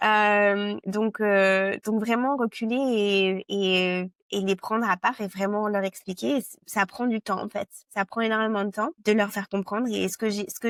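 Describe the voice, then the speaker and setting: Over a very clean, silent background, a woman speaks fairly slowly at a medium pitch. The sound is dry and close with no echo, and her intonation is fairly even. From France. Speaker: product marketing director. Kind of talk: interview. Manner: halting, many hesitations.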